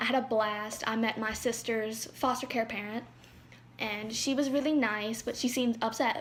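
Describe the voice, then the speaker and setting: A woman speaks in a somewhat breathy, fairly high voice with fairly even intonation. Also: moderate pace. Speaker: adoptee. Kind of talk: personal story told to camera. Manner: stuttering.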